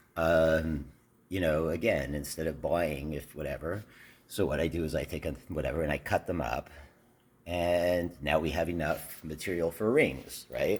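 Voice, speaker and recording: Vocal fry runs through a voice with fairly even intonation. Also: man, very deep, low pitch for a man, moderate pace. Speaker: teacher running an after-school workshop. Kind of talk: casual video update. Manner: halting, many fillers.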